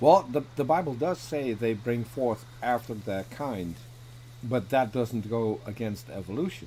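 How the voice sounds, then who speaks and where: With a dark, mellow tone and a somewhat breathy quality, a man at medium pitch speaks at a fairly slow pace with ordinary pitch variation. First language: not English. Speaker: debater on atheism. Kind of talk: casual chat. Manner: halting.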